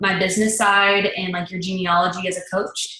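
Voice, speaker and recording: A woman's bright, sharp tone with audible room echo. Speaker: fitness business coach. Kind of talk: tutorial. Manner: rambling, casual.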